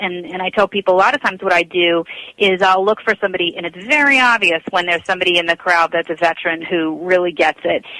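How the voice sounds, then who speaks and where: Recorded with a dry, close sound and no echo, a woman talks at a fairly quick pace with ordinary pitch variation. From Long Island, New York. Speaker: national anthem singer. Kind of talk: radio interview.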